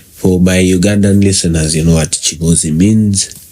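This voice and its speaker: A man's very deep, low voice with ordinary pitch variation, over noticeable background noise. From Uganda. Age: 20s. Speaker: podcast host. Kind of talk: solo podcast monologue. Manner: slow.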